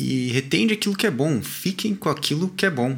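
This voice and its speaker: On a very clean recording with a silent background, a somewhat breathy man with a fairly high pitch speaks at a moderate pace, his pitch swinging very widely. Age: 20s. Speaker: podcast co-host, mechanical engineer. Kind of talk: casual chat.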